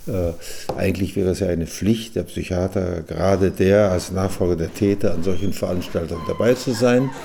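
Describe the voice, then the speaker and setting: Over noticeable background noise, the voice shows ordinary pitch variation. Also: man, very deep, low pitch for a man, moderate pace. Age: 80s+. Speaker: retired psychiatrist. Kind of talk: personal account recorded for radio. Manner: halting with fillers.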